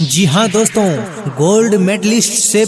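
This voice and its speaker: Energetic, high-pitched man with ordinary pitch variation over music in the background. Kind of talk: radio-style coaching centre advertisement. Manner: energetic announcer style.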